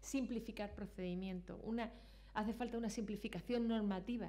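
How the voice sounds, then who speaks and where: Fairly quick speech in an Andalusian accent, with audible room echo. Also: woman. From Granada, Andalusia, Spain. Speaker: public procurement regulator, conference speaker. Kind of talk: conference talk. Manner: animated storytelling.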